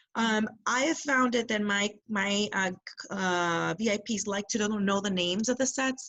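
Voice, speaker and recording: A woman with a plain, everyday voice speaks at a fairly slow pace in a medium pitch, with ordinary pitch variation. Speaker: direct sales seller. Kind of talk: casual chat.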